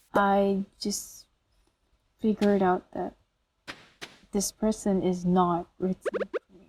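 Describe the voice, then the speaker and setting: A woman speaks with a non-native accent in a somewhat breathy, monotone, flat voice. Her pace is very slow, with long, frequent pauses. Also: medium pitch for a woman. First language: not English. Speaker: solo podcaster. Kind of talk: casual monologue. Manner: hesitant, many fillers.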